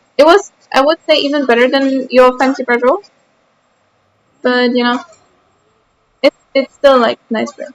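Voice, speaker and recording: Speaking with a slight German accent, a woman uses a high pitch. She keeps a moderate pace, with long, frequent pauses. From Austria. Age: 20s. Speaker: streamer. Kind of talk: casual chat. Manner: animated.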